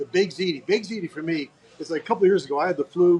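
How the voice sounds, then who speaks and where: A man's loud, high-pitched voice at a very fast pace. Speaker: podcast host. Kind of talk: casual interview.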